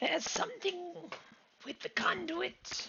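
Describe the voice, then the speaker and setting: This put-on character voice has a raspy sound. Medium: actual play. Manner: cryptic, terse.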